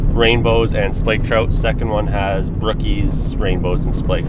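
A man speaks with music in the background. The sound is dry with no echo. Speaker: fishing vlogger. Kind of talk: casual vlog chat. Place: car.

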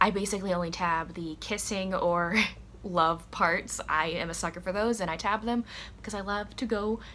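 A woman speaks at a moderate pace in a bright, sharp tone with vocal fry. There is light background noise. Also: fairly even intonation. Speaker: book vlogger. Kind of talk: casual vlog chat. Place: home room. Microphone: camera far.

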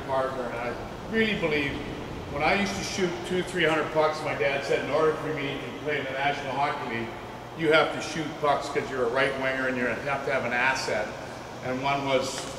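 A man at a moderate pace with fairly even intonation, with audible room echo and noticeable background noise. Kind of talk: presentation to a small audience. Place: hall. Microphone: camera far.

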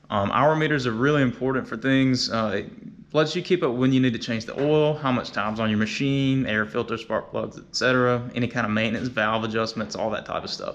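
A man speaks at a fairly quick pace with ordinary pitch variation. He leaves hardly any pauses. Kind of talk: tutorial. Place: garage. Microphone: phone near.

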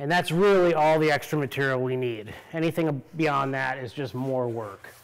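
Moderate-paced speech from a man. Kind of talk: tutorial. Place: workshop.

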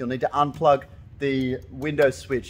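Someone with an Australian accent talks at a moderate pace over light background noise. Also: man. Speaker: car audio installer. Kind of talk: DIY tutorial talk to camera. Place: workshop. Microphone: phone near.

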